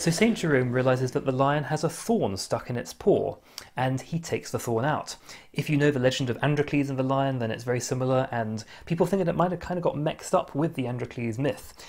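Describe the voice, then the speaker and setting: This man speaks at a very fast pace with ordinary pitch variation. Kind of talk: casual vlog chat. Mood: light, amused. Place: home room.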